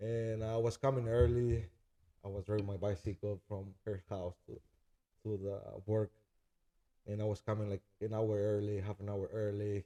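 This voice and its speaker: Here is a man with a Spanish accent and a fairly low, dark, mellow voice. His intonation stays fairly even, and the sound is dry and close with no echo. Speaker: chef and food truck owner. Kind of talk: casual interview. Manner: halting.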